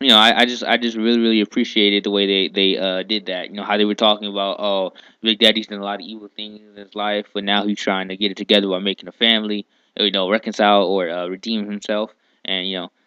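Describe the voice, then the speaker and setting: A man talks at a very fast pace. His intonation is monotone and flat. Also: fairly low pitch for a man. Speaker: anime reviewer. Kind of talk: casual talk to camera. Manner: laid back, hesitant, with repeats and pauses; laid back, easy flowing.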